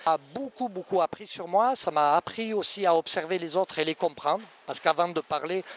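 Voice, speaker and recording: Speaking at a fairly quick pace in a Cévennes accent, a man with a high pitch shows ordinary pitch variation, the sound dry and close with no echo. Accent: Cévennes (southern French). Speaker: riding instructor and author. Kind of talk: interview answer. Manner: soft, gentle.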